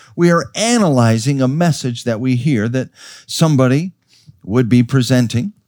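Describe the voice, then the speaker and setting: An ordinary speaking voice with lively intonation at a moderate pace, on a very clean recording with a silent background. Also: man, medium pitch for a man. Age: 50s. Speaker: pastor. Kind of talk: sermon. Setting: church.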